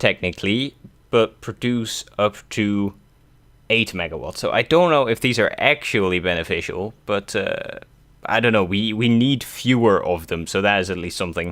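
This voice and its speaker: A man with a Dutch accent, ordinary pitch variation, and a moderate pace. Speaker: gaming youtuber. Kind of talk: let's play commentary. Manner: casual, hesitant with many fillers.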